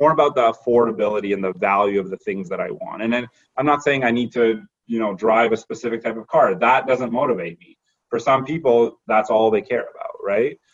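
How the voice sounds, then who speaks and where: With a Canadian accent, a man speaks in a normal speaking voice at medium pitch with ordinary pitch variation. His pace is fairly quick, and his loudness swings widely. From Canada (Toronto area). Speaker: corporate lawyer. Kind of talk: casual interview.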